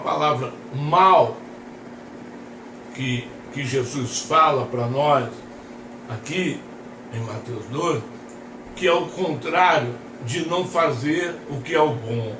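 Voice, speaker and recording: Over noticeable background noise and audible room echo, a man with a fairly high pitch talks at a very slow pace, using lively intonation and long, frequent pauses. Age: 60s. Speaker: pastor. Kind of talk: sermon.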